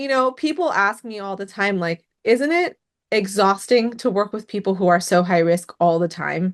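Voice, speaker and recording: Over a quiet background, a woman with a plain, everyday voice talks at a moderate pace and medium pitch, her intonation lively. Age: 30s. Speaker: podcast host, mental health advocate. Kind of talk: interview conversation.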